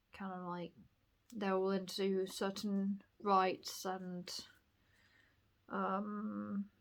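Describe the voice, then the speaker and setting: Speaking very slowly with long, frequent pauses, a woman with a southern English accent keeps a medium pitch and a monotone, flat intonation. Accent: posh southern English picked up. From northern England, Bradford. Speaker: vlogger. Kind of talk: casual monologue. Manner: rambling, hesitant.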